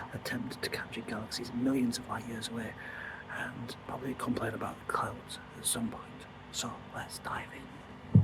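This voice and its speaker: A man whispers at a moderate pace. Audible room echo and noticeable background noise surround him. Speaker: amateur astrophotographer, channel host. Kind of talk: casual vlog narration. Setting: outdoors. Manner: whispering.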